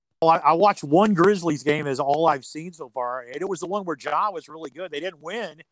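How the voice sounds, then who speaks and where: With an American accent, a man talks at a fairly quick pace and fairly high pitch, using ordinary pitch variation in an ordinary speaking voice, with a dry, close sound and no echo. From Ohio. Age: 60s. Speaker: radio play-by-play announcer. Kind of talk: casual interview. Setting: remote call from home.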